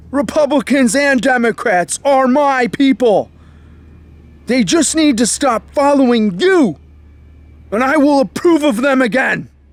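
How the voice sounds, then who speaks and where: A man's extremely high voice in an angry tone, at a fairly slow pace with long, frequent pauses and very even loudness. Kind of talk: political commentary to camera. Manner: raised voice, angry.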